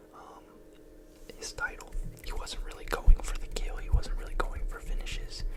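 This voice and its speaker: A man whispers at a moderate pace. Noticeable background noise is present. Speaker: ASMR YouTuber. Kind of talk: whispered ASMR ramble about MMA. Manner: whispered, soft-spoken.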